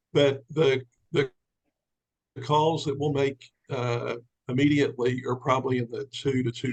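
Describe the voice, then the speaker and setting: A man speaks in a somewhat breathy, monotone voice with flat intonation and long, frequent pauses. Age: 60s. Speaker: commercial real estate businessman and sales recruit. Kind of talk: testimony on a team call.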